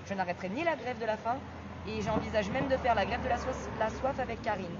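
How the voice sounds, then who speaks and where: Against crowd noise in the background, a woman with a fairly high pitch speaks at a very fast pace. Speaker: mother on hunger strike, activist. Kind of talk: livestream protest statement. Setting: outdoors in front of courthouse.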